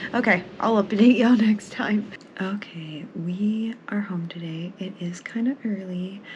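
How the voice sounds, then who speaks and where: Over noticeable background noise, a woman speaks at a medium pitch and a fairly slow pace, with ordinary pitch variation and big swings in loudness. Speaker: book vlogger. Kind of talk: casual vlog. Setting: at home. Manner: casual and rambling.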